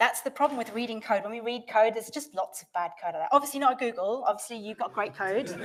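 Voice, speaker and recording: The delivery is animated and fairly quick, with ordinary pitch variation. Loudness swings widely. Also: woman. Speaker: developer advocate, conference speaker. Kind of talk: conference talk. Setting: stage with audience. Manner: fast.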